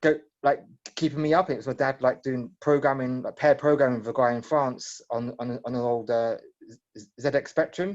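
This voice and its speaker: With a British accent, a man speaks at a medium pitch and a moderate pace, his pitch varying in an ordinary way while his loudness swings widely. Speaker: tech startup founder. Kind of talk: Q&A session. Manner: halting.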